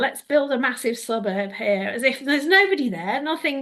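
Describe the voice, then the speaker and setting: A woman with a high pitch talks at a moderate pace. Her pitch swings very widely against a quiet background. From northern England. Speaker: storyteller and environmental consultant. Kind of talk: casual interview chat. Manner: conversational, with hesitations and repeats.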